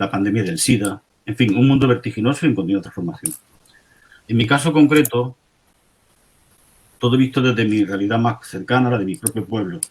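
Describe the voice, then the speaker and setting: A man speaks at a medium pitch and a fairly quick pace, with ordinary pitch variation. His voice is somewhat breathy, broken by long, frequent pauses. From Andalusia, Spain (Andújar, Jaén). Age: 60s. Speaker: secondary school history teacher. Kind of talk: conference talk. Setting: teachers' conference.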